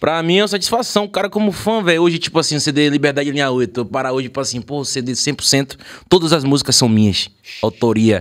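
A plain, everyday voice with lively intonation at a fairly quick pace. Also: man, fairly high pitch for a man. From small town in Bahia, Brazil. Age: 20s. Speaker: music producer and musician. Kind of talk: casual chat.

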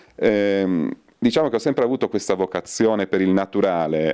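A man's fairly low voice with ordinary pitch variation, a moderate pace and a quiet background. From northern Italy, Turin; northern Italy. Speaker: soap maker and botanist; interviewee. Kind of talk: interview. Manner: halting. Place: shop. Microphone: handheld.

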